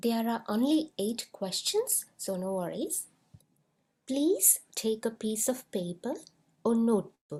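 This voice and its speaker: With a non-native accent, a woman speaks at a very slow pace in a dark, mellow tone, her fairly high pitch carrying lively intonation. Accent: non-native English rhythm. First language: not English. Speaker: school psychologist and lecturer. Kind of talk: webinar presentation. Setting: online webinar.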